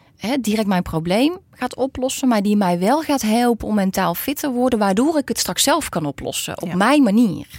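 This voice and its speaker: At a moderate pace and with hardly any pauses, a woman's fairly high voice swings very widely in pitch. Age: 40s. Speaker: psychologist. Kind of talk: interview.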